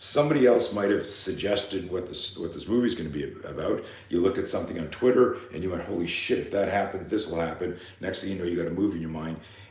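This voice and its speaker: A man's very fast, animated delivery with hardly any pauses, in audible room echo. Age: 60s. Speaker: fear management coach and self-defense instructor. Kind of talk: live seminar talk.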